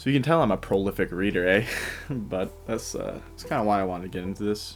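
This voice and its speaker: Quietly and at a fairly quick pace, a man talks in a fairly low voice. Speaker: podcast host. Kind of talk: casual book-reading podcast chat. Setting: home recording at night. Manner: hushed, quiet.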